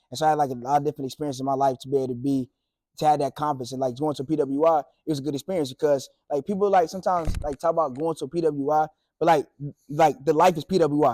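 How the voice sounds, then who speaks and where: A man with a fairly high pitch speaks very fast in a dark, mellow tone and fairly even intonation. The recording is very clean and dry, close-miked with no echo and a silent background. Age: 20s. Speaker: sports media worker and former student visiting his high school. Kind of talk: casual talk to high school students.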